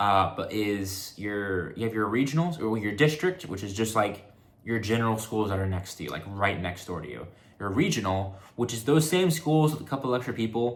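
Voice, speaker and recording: A fairly low-pitched man at a moderate pace, lively in intonation, with audible room echo. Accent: American. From Texas. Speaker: vlogger. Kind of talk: casual chat. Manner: casual, with many fillers.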